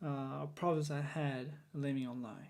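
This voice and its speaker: In a very clean recording with a silent background, a man speaks with a non-native accent. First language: not English. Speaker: vlogger. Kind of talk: unscripted monologue. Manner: halting, many fillers.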